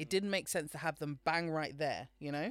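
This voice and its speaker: A woman with a British accent is heard on a very clean recording with a silent background. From Britain. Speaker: podcast co-host. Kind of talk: casual chat.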